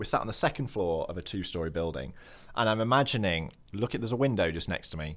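With a northern English accent, a man with a fairly low pitch talks at a very fast pace and with lively intonation, on a very clean recording with a silent background. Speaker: nature podcast host. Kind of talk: casual comedic chat. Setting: studio.

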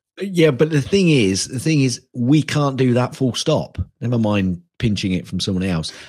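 With a British accent, this voice moves at a moderate pace with hardly any pauses and very wide pitch swings. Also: man, medium pitch for a man. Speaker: podcast co-host. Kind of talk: casual chat.

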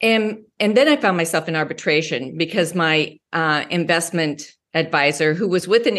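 In a plain, everyday voice with an American accent, a woman speaks fairly slowly at a fairly low pitch with ordinary pitch variation over a quiet background. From Wyoming and Colorado. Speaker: mindset coach. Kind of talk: interview.

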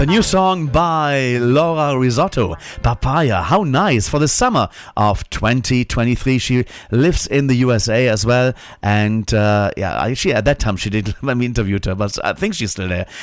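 A man with a medium-pitched voice speaks at a moderate pace with lively intonation. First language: not English, learned it from 1979 on. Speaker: radio host. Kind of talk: radio show presenting.

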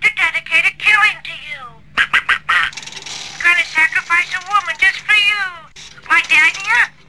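The pitch is extremely high. It is a put-on character voice. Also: fairly slow pace. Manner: menacing, taunting.

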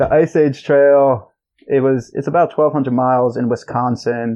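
A normal speaking voice with fairly even intonation, at a fairly slow pace. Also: man. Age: 20s. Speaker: long-distance hiker. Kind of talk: casual chat.

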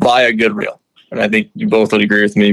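In an Upper Midwest accent, a man with a fairly low pitch talks at a fairly quick pace. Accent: Upper Midwest American. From Minnesota. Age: 20s. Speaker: fishing guide. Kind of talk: casual interview.

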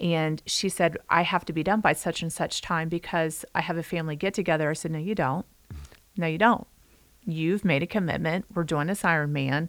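In a very clean recording with a silent background, a woman with a plain, everyday voice speaks fairly quickly at a fairly low pitch with fairly even intonation. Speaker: podcast co-host, health coach. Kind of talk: casual interview.

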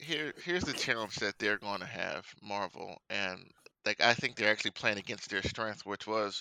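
A man speaks with a fairly low pitch and a bright, sharp tone. The sound is dry and close, with no echo. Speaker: podcast panelist. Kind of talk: casual chat.

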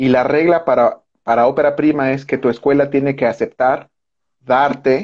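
This man speaks with a Mexican accent, a fairly high pitch and fairly even intonation. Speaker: film director. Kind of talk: casual chat.

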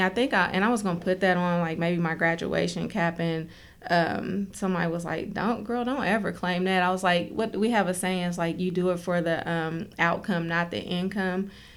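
Speaking at a moderate pace, a woman with a medium pitch has a plain, everyday voice and fairly even intonation. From West Virginia, Fayette County. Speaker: school social worker. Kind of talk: casual interview.

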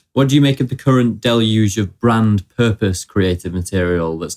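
At a moderate pace, a man uses a normal speaking voice with ordinary pitch variation. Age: 20s. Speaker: podcast host. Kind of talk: casual interview chat. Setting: studio.

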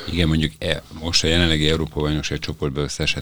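A man's very deep, low voice at a fairly quick pace, amid noticeable background noise. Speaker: podcast host. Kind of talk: casual sports chat. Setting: studio.

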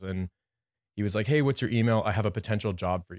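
With a Canadian accent, a man speaks in a plain, everyday voice at a fairly low pitch with ordinary pitch variation, recorded very cleanly, dry and close with no echo against a silent background. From Windsor, Ontario, Canada. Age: 30s. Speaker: graphic designer and business owner. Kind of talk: casual interview. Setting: studio.

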